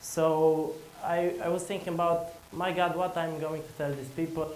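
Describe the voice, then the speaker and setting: Someone with a Romanian accent speaks at a moderate pace over noticeable background noise, with audible room echo. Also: man. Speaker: conference speaker, entrepreneur. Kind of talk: conference talk. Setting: stage with audience. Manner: halting.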